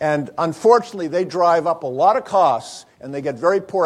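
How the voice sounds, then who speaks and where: A man with an American accent, animated in tone and lively in intonation, at a fairly quick pace. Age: 60s. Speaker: physician keynote speaker. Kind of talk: keynote lecture. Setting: conference stage with audience. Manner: animated, asks audience questions.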